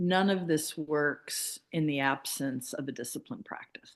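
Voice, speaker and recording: A woman speaking at a very slow pace against a quiet background. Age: 50s. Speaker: author and spiritual healer. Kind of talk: casual interview chat. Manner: hesitant, with fillers.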